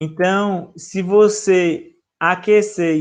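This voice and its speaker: The speaker is a man. His voice is high-pitched. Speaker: professor. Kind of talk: lecture.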